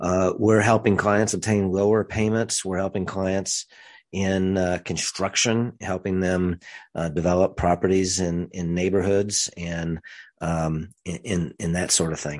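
A man's very deep, low voice with an American accent, monotone and flat at a fairly slow pace, against a quiet background. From rural central Missouri. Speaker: financial advisor and podcast host. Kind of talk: solo podcast monologue. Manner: hesitant, many fillers.

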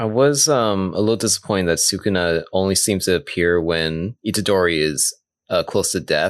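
This man has an ordinary speaking voice, fairly low in pitch, talking at a moderate pace with ordinary pitch variation and very even loudness against a quiet background. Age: 30s. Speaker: anime podcast co-host. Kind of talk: casual chat.

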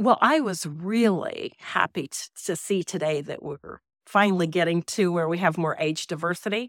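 An ordinary speaking voice from a woman, fairly low in pitch, with an American accent and moderate pace, on a very clean recording with a silent background. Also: ordinary pitch variation. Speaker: farmer. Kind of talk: interview.

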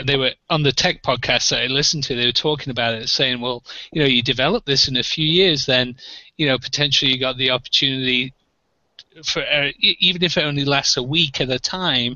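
Speaking at a fairly quick pace, a man with an English accent uses a medium pitch. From England. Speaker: arcade collector, panel regular. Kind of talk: casual chat. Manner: animated.

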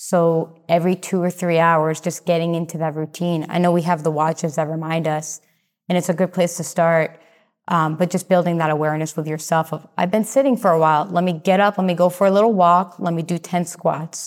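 In a very clean recording with a silent background, a woman with an ordinary speaking voice talks fairly quickly at a fairly low pitch with fairly even intonation. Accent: American. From Massachusetts. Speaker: health and fitness coach. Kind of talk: casual interview chat.

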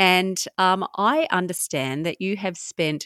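Ordinary pitch variation from a woman with an Australian accent. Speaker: podcast host. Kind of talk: interview.

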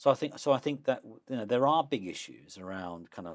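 With a London accent, a man talks at a fairly quick pace with lively intonation. The recording is very clean with a silent background. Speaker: professor and author. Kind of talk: interview. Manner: animated.

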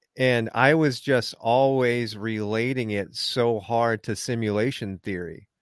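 With an unremarkable speaking voice, a man talks at a medium pitch and a fairly slow pace, with fairly even intonation and hardly any pauses. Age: middle-aged. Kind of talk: casual chat.

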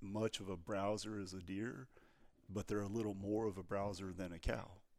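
A man with a Texan accent, fairly low-pitched, at a fairly slow pace. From Texas. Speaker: ranch research scientist. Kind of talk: casual interview.

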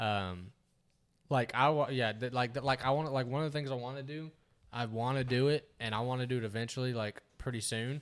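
A man speaks at a fairly quick pace in a plain, everyday voice. The recording is very clean, with a silent background. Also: medium pitch for a man. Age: 20s. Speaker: podcast co-host. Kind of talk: casual chat.

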